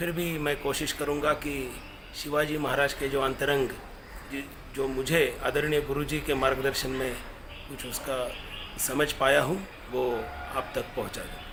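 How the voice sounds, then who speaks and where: A man's fairly high voice in a Marathi accent, monotone and flat, with noticeable background noise and audible room echo. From Maharashtra, India. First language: Marathi (speaking Hindi). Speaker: professor and activist speaker. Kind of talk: commemorative lecture. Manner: halting, with fillers.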